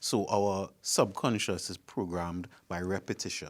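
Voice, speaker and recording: With a Trinidadian accent, a man talks in a very deep, low pitch over a very clean recording with a silent background. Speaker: panel guest. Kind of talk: panel discussion.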